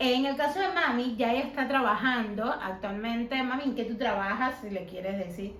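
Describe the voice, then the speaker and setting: Amid noticeable background noise and audible room echo, a woman with a high pitch talks at a moderate pace with hardly any pauses. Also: ordinary pitch variation. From Cuba. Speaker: YouTuber interviewing her mother. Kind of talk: casual interview.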